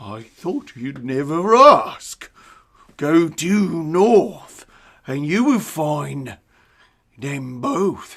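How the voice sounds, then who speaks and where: A put-on character voice at a middle pitch, very slow, with long, frequent pauses. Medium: stage play.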